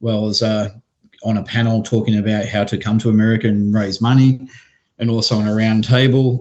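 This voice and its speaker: A very fast, monotone delivery with flat intonation in an Australian accent. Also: man, fairly low pitch for a man. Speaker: venture capital investor. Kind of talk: podcast interview.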